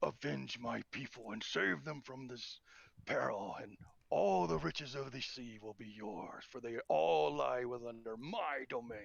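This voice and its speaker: In a booming, put-on character voice of medium pitch, a man speaks at a moderate pace. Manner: commanding, grand.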